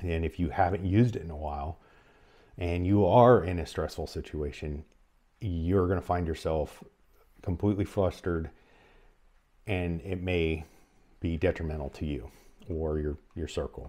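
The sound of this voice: The tone is dark and mellow, with ordinary pitch variation. Delivery comes at a fairly slow pace, broken by long, frequent pauses. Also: man, low pitch for a man.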